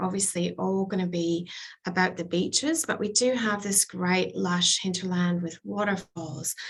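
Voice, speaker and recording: Speaking at a fairly slow pace, a woman has an unremarkable speaking voice at a medium pitch with ordinary pitch variation. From Canada, Vancouver. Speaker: tourism representative. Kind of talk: destination presentation to travel audience. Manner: upbeat.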